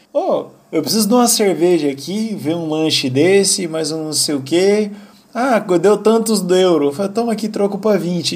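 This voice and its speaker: There is noticeable background noise behind this man's high voice. He speaks at a moderate pace with lively intonation. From Brazil. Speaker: podcast host. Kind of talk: casual chat.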